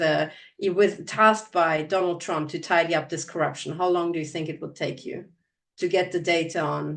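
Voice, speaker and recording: A woman with a Hungarian accent speaks at a moderate pace. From Transylvania, Romania, raised in Germany. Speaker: podcast host. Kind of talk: interview.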